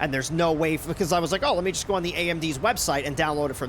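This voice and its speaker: Against noticeable background noise, a man with an American accent speaks at a very fast pace in a high pitch with ordinary pitch variation. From New York. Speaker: flight sim streamer. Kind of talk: casual live-stream chat. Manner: casual, filler-heavy.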